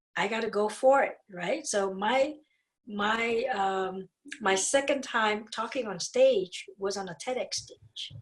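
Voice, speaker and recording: Speaking at a very slow pace with a Vietnamese accent, a woman has a fairly high pitch, ordinary pitch variation and big swings in loudness. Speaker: dentist and speaker. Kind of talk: podcast interview. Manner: animated.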